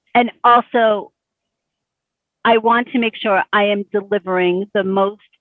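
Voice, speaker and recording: Fairly even intonation from a woman, at a moderate pace. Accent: Brooklyn. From Bay Ridge, Brooklyn, New York. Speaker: small business coach. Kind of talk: coaching session client.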